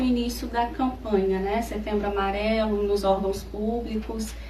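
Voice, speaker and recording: A woman's fairly slow, fairly even speech comes through noticeable background noise. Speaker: psychologist. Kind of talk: radio interview answer.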